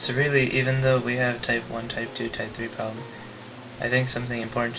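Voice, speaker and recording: A man whispers at a very fast pace. Music plays in the background, and room echo is audible. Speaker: physics teacher. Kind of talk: tutorial. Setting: webcam recording. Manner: whispery.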